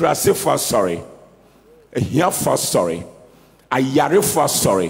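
The voice carries vocal fry and big pitch swings at a fairly slow pace. Room echo is audible. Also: man, medium pitch for a man.

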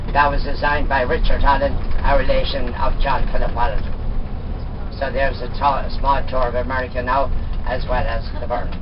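Noticeable noise sits behind a voice that moves along fairly quickly. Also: man. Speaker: tour guide. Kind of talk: live tour guide commentary on a coach. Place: bus.

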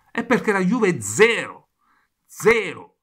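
A man speaks with vocal fry. The background is quiet. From Italy. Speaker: football commentator and YouTuber. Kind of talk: angry football rant, venting at the camera about Juventus. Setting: home video recording, neighbours nearby. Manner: furious, loud, swearing constantly, repeating phrases, rapid and breathless, exasperated; excitable, chatty, talking directly to viewers. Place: home room. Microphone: phone near.

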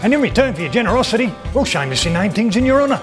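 A man talks while music plays clearly behind him. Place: bar.

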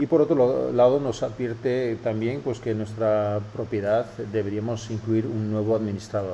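A man speaks with a Castilian accent. Light background noise can be heard. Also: ordinary pitch variation, moderate pace. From Spain. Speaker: web analytics tutorial host. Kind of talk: tutorial. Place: office.

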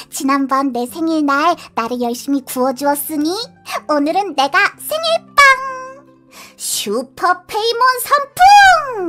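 Put on as a character voice, the high-pitched speech comes fairly slowly and cheerfully, with long, frequent pauses and faint music in the background. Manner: cheerful, excitable.

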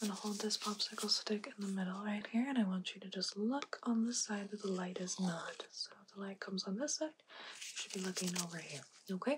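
A soft-spoken woman talks at a fairly quick pace with hardly any pauses, in a gentle tone. Her pitch varies in an ordinary way, and there is noticeable background noise. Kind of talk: soft-spoken roleplay instructions. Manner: soft, gentle ASMR doctor voice.

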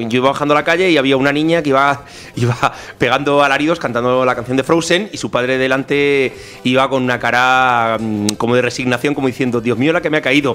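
A man speaks at a very fast pace and a medium pitch, with very even loudness and fairly even intonation. There is noticeable background noise. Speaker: podcast co-host. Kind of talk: casual talk show conversation.

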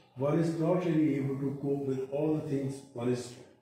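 A man talks at a moderate pace. The room echoes strongly, and there is light background noise. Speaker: interviewee. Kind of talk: interview answer. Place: office.

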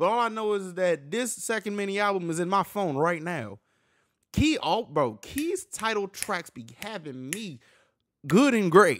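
A man's speech moves at a moderate pace, and the background is quiet. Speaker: music reaction youtuber. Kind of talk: casual reaction commentary. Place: home room. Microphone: studio mic.

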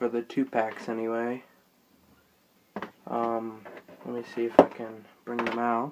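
A man's medium-pitched, monotone, flat voice at a fairly slow pace, with long, frequent pauses, big swings in loudness and loud background noise. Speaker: toy collector showing collection. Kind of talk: collection showcase. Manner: subdued, low energy; halting with fillers. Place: home room. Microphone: phone near.

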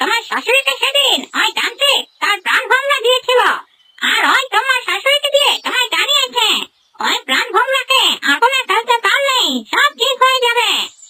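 A cartoonish character voice, squeaky and extremely high-pitched, at a moderate pace. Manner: urgent, caring.

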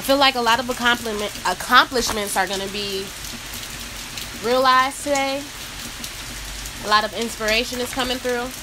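A high-pitched woman at a fairly quick clip, her intonation fairly even, with noticeable background noise. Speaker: oracle card reader. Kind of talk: casual spiritual reading talk. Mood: calm, soothed. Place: rain. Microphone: phone near.

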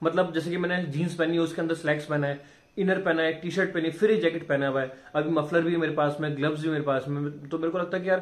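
Hardly pausing at all, a man races along at a very fast pace in a monotone, flat delivery. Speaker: vlogger. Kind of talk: casual vlog chat. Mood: cheerful, joking. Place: home room. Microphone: phone near.

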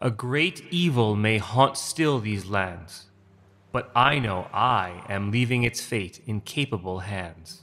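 A natural reading voice with ordinary pitch variation comes through.

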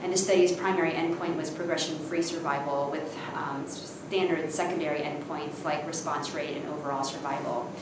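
Speaking at a fairly quick pace, a woman is heard with audible room echo and noticeable background noise. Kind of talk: interview answer. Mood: calm, explanatory. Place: hall.

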